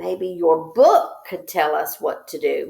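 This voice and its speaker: A woman uses a put-on character voice at a fairly slow pace. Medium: read story. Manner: gentle, meek.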